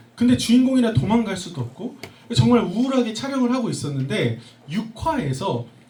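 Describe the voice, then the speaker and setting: Very wide pitch swings from a man, against noticeable background noise and audible room echo. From Korea, schooled in the US from middle school. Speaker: speaker, education entrepreneur, former actor. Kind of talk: talk to a live audience.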